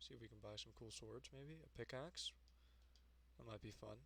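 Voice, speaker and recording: Speaking at a moderate pace, a man with a very deep, low pitch and a bright, sharp tone swings his pitch very widely and slips into vocal fry. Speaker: gaming streamer. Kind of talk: live gameplay commentary. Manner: halting, many fillers. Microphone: cheap, very sensitive streaming mic.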